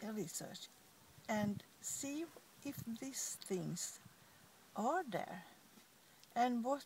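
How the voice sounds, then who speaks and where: Fairly high in pitch, a woman speaks at a very slow pace. Her voice is somewhat breathy, with lively intonation. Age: 80s+. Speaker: eBay seller, entrepreneur. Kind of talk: interview answer.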